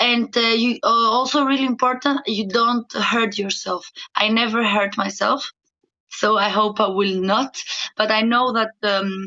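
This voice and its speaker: A woman with a Greek accent speaks in a fairly high pitch with fairly even intonation. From Greece. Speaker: professional dancer. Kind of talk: podcast interview. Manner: halting, many fillers.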